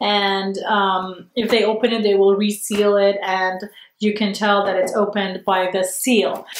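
A woman talks at a fairly slow pace in a monotone, flat delivery. Audible room echo and light background noise surround her voice. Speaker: online shopping vlogger. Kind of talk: casual talk to camera. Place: home room.

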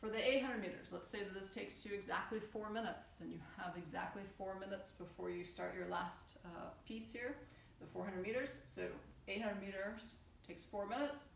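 Moderate pace and ordinary pitch variation, with audible room echo and light background noise. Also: woman. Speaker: fitness coach. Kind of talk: tutorial. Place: home room. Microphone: camera far.

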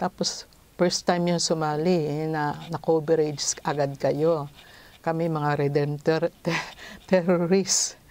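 A woman talks at a very slow pace, with a very deep, low pitch and monotone, flat intonation, in a dry sound with no echo. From Philippines. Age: 60s. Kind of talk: testimony. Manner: halting. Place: home room. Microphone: lapel.

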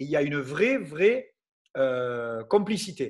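The man's pitch swings widely. His voice carries a slightly husky edge.

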